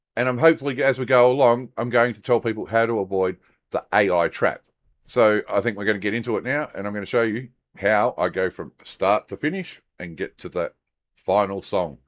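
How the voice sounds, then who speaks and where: A man at medium pitch, recorded very cleanly against a silent background, the sound dry and close with no echo. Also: ordinary pitch variation, fairly quick pace. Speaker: YouTuber and music creator. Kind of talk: tutorial. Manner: halting.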